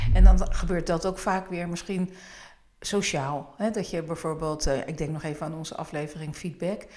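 Her fairly low pitch and fairly even intonation carry a woman's speech at a moderate pace. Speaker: podcast host. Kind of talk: casual chat.

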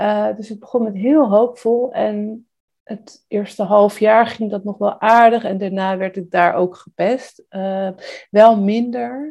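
Speaking at a very slow pace, a woman with a dark, mellow tone and medium pitch shows ordinary pitch variation and big swings in loudness. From Netherlands, South Holland (Rijnsburg). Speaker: illustrator. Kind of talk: interview. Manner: hesitant.

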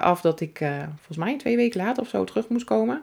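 A woman speaks at a fairly quick pace with a fairly low pitch. Her voice has vocal fry. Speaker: salon owner and entrepreneur. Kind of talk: personal storytelling monologue. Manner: warm, relaxed.

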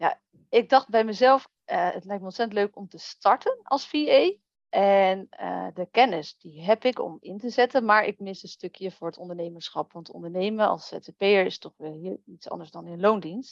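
An ordinary speaking voice at a moderate pace, with big swings in loudness. The sound is dry and close with no echo. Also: woman, medium pitch for a woman, ordinary pitch variation. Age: 30s. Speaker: virtual assistant. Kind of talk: interview.

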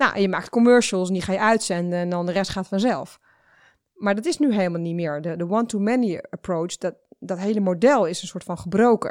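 At a fairly quick pace, a woman talks at a medium pitch with ordinary pitch variation in an ordinary speaking voice. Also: very clean recording, silent background. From Netherlands, village of Nes. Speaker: startup founder. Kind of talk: interview.

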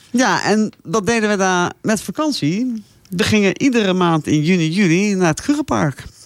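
A woman's medium-pitched voice, an unremarkable speaking voice, with lively intonation, very even loudness and a moderate pace. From South Africa (moved from eastern Netherlands at age 8). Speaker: safari traveller, radio guest. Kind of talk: casual interview chat.

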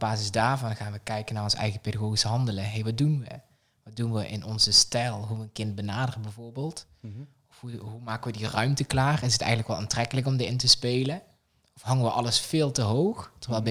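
This man's tone is bright and sharp, at a medium pitch. He talks at a very fast pace, with big swings in loudness. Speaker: childcare pedagogical coach. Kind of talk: casual interview. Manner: animated.

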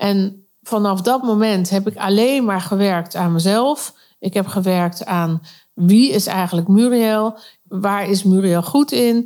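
Very slowly, a woman speaks at medium pitch with a dark, mellow tone and ordinary pitch variation. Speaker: vocal coach and podcast host. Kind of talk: solo monologue.

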